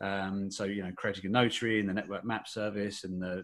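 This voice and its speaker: In an Essex accent, a fairly low-pitched man talks at a fairly quick pace with monotone, flat intonation, in a very clean recording with a silent background. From Essex, England. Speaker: software developer, head of technology. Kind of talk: podcast interview. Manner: hesitant, many fillers.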